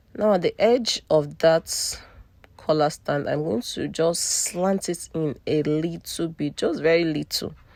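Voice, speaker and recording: Slow-paced and fairly low in pitch, a woman speaks with a non-native accent. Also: ordinary pitch variation. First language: not English. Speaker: sewing tutor / fashion designer. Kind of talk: tutorial.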